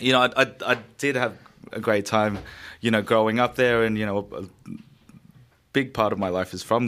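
A man with an Australian accent, fairly quick pace and ordinary pitch variation. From Sydney, Australia. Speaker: chef and restaurateur. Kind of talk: casual radio interview. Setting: radio studio.

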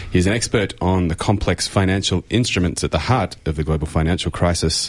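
A man's very deep, low voice with ordinary pitch variation and an Australian accent. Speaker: radio co-host. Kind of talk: radio talk show. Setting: radio studio.

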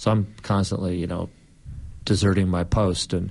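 A man with a Californian accent speaks in a very deep, low pitch against a quiet background. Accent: American (Californian). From Southern California and Hawaii. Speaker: journalist and author. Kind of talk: interview.

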